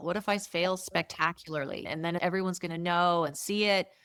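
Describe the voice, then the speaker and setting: A woman with an ordinary speaking voice, a moderate pace and ordinary pitch variation, on a very clean recording with a silent background. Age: 60s. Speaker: entrepreneur. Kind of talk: interview.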